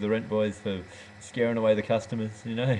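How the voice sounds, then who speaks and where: Very fast Australian-accented speech from a man, fairly low in pitch and monotone with flat intonation, with noticeable background noise. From rural Western Australia. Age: 30s. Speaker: goat dairy farmer. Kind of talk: casual webcam monologue. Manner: halting, many fillers.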